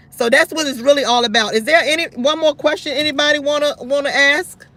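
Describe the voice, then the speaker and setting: Speaking very fast in a raised, projected voice, a woman talks at a high pitch with ordinary pitch variation against noticeable background noise. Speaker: talk show host. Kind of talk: live call-in show. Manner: loud.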